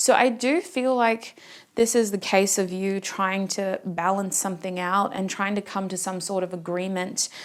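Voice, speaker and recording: Her intonation is fairly even. This woman talks at a medium pitch. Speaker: tarot reader. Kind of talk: tarot reading to camera. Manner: fast.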